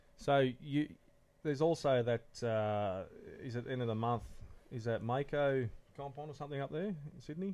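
Speaking with an Australian accent, a man keeps a moderate pace and ordinary pitch variation, with long, frequent pauses. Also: medium pitch for a man. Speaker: podcast co-host, lure maker. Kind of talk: casual chat. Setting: home shed recording.

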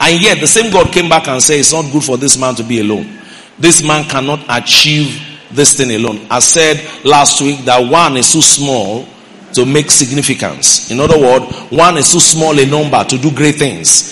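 A man speaks at a moderate pace with ordinary pitch variation. Audible room echo and noticeable background noise surround his voice. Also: fairly high pitch for a man. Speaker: pastor. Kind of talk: sermon. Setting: church.

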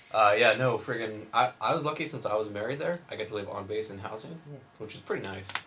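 Speaking very fast, a man uses a fairly low pitch with ordinary pitch variation. There is noticeable background noise. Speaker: podcast host, submarine veteran. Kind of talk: casual chat.

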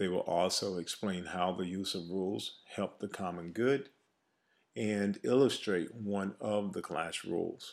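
A man's fairly low-pitched, normal speaking voice at a fairly slow pace, on a very clean recording with a silent background. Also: ordinary pitch variation. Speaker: teacher presenting lesson plan. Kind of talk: reading aloud a lesson plan.

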